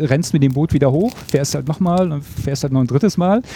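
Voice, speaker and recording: The man's tone is dark and mellow. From Mecklenburg-Western Pomerania. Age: 40s. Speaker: camper. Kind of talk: casual chat.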